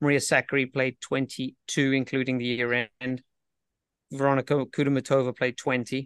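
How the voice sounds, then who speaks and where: The intonation is monotone and flat. The sound is dry and close with no echo, over a quiet background. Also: man, medium pitch for a man, moderate pace. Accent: British. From Britain. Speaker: professional tennis coach. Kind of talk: casual interview chat.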